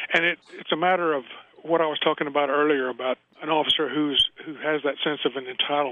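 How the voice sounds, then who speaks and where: The speaker talks at a very fast pace with fairly even intonation. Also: man. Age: 70s. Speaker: former police officer and author. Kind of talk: radio interview.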